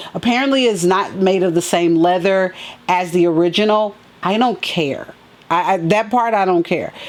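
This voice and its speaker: A woman speaks at a moderate pace and a medium pitch. Her loudness stays very even, with ordinary pitch variation. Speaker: sneaker and fashion vlogger. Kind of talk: casual unboxing vlog.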